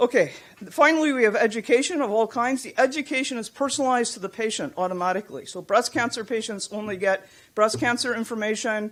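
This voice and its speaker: A woman talks at a very fast clip. Her loudness rises and falls sharply. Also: fairly high pitch for a woman, ordinary pitch variation. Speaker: patient representative and computer scientist presenting at a conference. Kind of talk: conference presentation.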